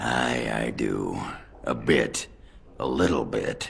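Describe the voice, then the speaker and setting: A man's raspy put-on character voice, very deep and low, at a very slow pace, with light background noise. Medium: video game. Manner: blunt, gruff.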